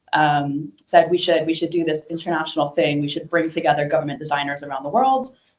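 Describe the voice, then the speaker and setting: Using an ordinary speaking voice, a woman with an American accent talks at a fairly quick pace with ordinary pitch variation. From United States. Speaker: government design leader. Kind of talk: conference talk.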